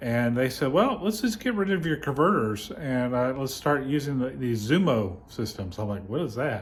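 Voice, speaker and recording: A somewhat breathy man's voice at a medium pitch and a moderate pace, with very wide pitch swings and hardly any pauses. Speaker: vlogger. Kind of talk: casual chat. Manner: halting; over-enunciating.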